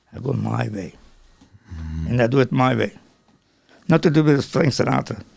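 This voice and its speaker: A man speaks at a moderate pace and a medium pitch, with vocal fry and very wide pitch swings. His pauses are long and frequent, and his loudness swings widely. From Croatia. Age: 80s+. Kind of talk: interview answer. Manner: rambling, talkative.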